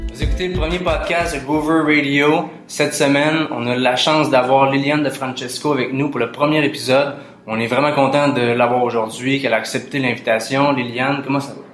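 In a Quebec accent, a man talks at a fairly quick pace with a fairly high pitch and fairly even intonation, over noticeable background noise and audible room echo. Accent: Québécois French. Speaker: podcast host. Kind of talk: casual interview.

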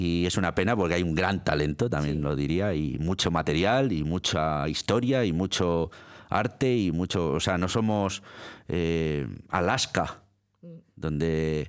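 On a very clean recording with a silent background, the speech goes at a fairly slow pace with very even loudness and ordinary pitch variation. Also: man, very deep, low pitch for a man. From Italy, born in Milan. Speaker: radio presenter and librarian. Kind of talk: interview. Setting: studio. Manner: halting, many repetitions.

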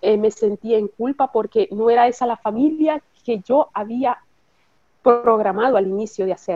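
A plain, everyday voice: a woman at a fairly high pitch, moderate pace and ordinary pitch variation. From Nicaragua, then Costa Rica. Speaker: bereaved mother, hospital worker. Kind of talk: interview testimony.

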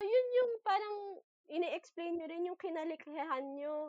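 A woman's lively intonation at a fairly slow pace, in a dry, close sound with no echo. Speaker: podcast host. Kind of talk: interview conversation.

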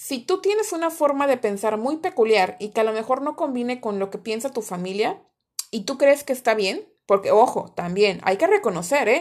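A woman's high pitch with very wide pitch swings at a moderate pace. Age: 30s. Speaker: podcast host. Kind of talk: solo motivational talk.

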